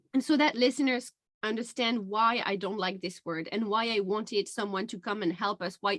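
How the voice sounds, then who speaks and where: A woman talks at a moderate pace with ordinary pitch variation. Her voice is fairly high. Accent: non-native. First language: not English. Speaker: podcast host and life coach. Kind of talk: casual interview chat.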